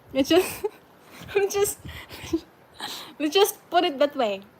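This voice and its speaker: A woman's lively intonation rises over noticeable background noise. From Philippines, Cebu. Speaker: live streamer. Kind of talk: casual live-stream chat with viewers.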